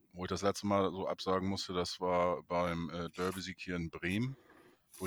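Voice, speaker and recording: The sound is dry and close, with no echo, on a very clean recording with a silent background. The speech moves at a moderate pace. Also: man. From Neustadt in Holstein, northern Germany. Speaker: football fan podcast host. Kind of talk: casual chat.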